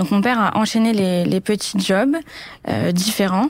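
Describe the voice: Moderate pace from a woman at a medium pitch, with ordinary pitch variation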